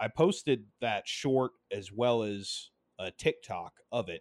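A man speaks in a normal speaking voice at medium pitch with ordinary pitch variation, on a very clean recording with a silent background. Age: 20s. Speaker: gaming podcast host. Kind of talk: solo casual commentary.

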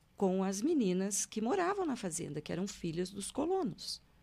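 Here a woman speaks at a fairly slow pace. Her medium-pitched voice makes very wide pitch swings. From Brazil, Paraná (Londrina). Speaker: hypnotherapist, retired public prosecutor. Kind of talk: interview, life story. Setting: studio.

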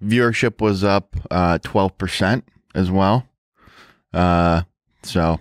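In a very clean recording with a silent background, a man with a very deep, low pitch speaks very slowly with long, frequent pauses, very even loudness and fairly even intonation. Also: dry, close sound with no echo. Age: 20s. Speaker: podcast co-host. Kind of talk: casual chat. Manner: mumbling; slurred speech.

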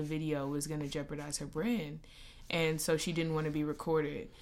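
A woman talks at a fairly quick pace in a very deep, low voice. Audible room echo surrounds her. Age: 20s. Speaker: podcast host. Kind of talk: casual chat.

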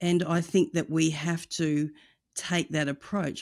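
Someone speaks at a moderate pace with an Australian accent on a very clean recording with a silent background. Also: woman. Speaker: evangelism ministry director. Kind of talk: interview.

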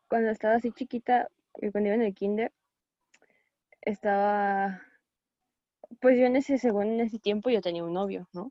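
At a moderate pace and with long, frequent pauses, a woman speaks in a dark, mellow tone with fairly high pitch and fairly even intonation. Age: 20s. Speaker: visual arts student. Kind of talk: casual chat.

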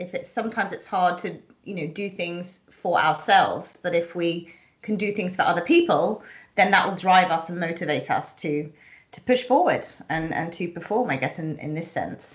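A woman speaks in a plain, everyday voice at a fairly low pitch and moderate pace. Her loudness swings widely, and her pitch varies in an ordinary way. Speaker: podcast host and self image consultant. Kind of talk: casual interview. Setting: video call.

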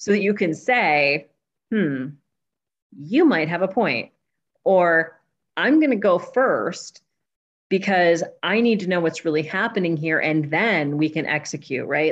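In an unremarkable speaking voice, a woman talks at a fairly slow pace with a fairly low pitch and lively intonation. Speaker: leadership development manager. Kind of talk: casual interview chat.

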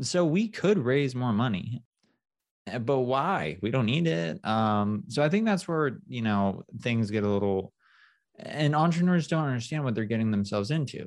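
A man at medium pitch makes very wide pitch swings against a quiet background. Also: moderate pace. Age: 30s. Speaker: startup founder and CEO. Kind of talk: casual interview.

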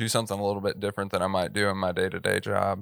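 Here a man speaks with a Texan accent at a fairly low pitch. The recording is very clean, the background silent. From East Texas. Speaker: filmmaker and church media producer. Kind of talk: interview.

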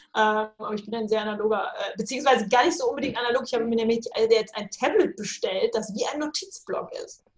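A woman with a high pitch talks at a very fast pace, her intonation lively and her loudness swinging widely. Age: 30s. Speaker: novelist. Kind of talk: casual chat.

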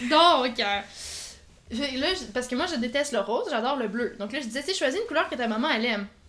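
A high-pitched woman's voice, lively in intonation and fairly quick in pace. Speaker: podcast co-host, teacher. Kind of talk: casual chat.

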